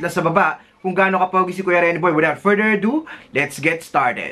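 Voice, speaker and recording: A man talks in a raised, projected voice at a very fast pace. There is light background noise. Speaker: job tips video host. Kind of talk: casual vlog chat. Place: home room.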